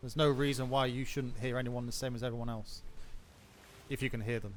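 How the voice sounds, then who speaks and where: Very fast delivery from a man at medium pitch, with monotone, flat intonation and audible room echo. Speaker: streamer playing a naval role-play game. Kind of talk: casual game chat.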